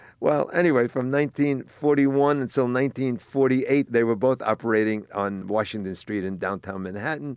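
A man with an American accent speaks at a fairly quick pace in an unremarkable speaking voice, medium in pitch with ordinary pitch variation and hardly any pauses. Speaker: grocery business owner. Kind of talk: interview.

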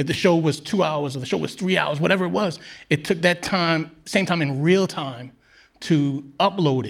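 Recorded very cleanly against a silent background, a man with a New York accent talks at a moderate pace in a fairly high pitch with ordinary variation. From Queens, New York City. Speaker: podcast co-host. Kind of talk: storytelling on stage. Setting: stage with audience.

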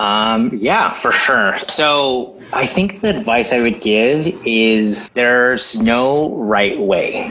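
Lively intonation from a man with an American accent and a medium pitch, amid noticeable background noise. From Los Angeles suburbs, Diamond Bar. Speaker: entrepreneur and startup accelerator leader. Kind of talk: casual interview. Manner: halting with many fillers.

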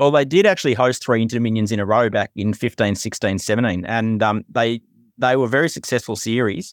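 A man at a medium pitch and fairly quick pace, ordinary pitch variation, dry and close sound with no echo, very clean recording with a silent background. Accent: Australian. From country Victoria, Australia. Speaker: professional punter. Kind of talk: casual chat.

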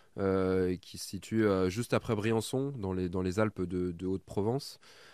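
On a very clean recording with a silent background, a man speaks very slowly. His pitch is fairly low and his intonation fairly even. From Burgundy, France. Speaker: adventurer and heritage content creator. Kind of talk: interview. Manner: halting, frequent repetitions.

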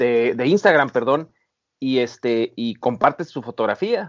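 A man is speaking. His pace is moderate. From Mexico, Baja California. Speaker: overlanding photographer and off-road enthusiast. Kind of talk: interview. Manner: halting, many repetitions.

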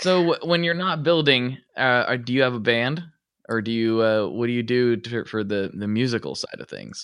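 Using an ordinary speaking voice, a man at medium pitch talks at a moderate pace with lively intonation. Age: 30s. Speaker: podcast host. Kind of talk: ad read; casual interview.

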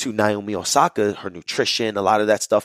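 Recorded with a dry, close sound and no echo, a man talks in a New York accent. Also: very clean recording, silent background. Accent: New York area urban. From New Jersey, Jersey City. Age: 20s. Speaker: holistic health coach. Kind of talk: interview, telling life story.

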